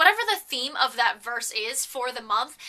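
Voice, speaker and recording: Raising and projecting her voice, a woman talks fairly quickly with an animated tone and lively intonation over noticeable background noise. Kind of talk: casual vlog monologue. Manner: loud.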